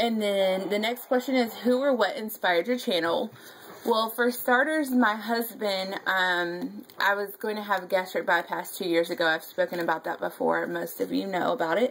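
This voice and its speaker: This woman has a North Carolina accent. Her pitch sits in the medium range. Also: ordinary pitch variation, moderate pace. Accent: Southern US (North Carolina). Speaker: scrapbooking YouTuber. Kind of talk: casual vlog chat. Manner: casual, many fillers (um).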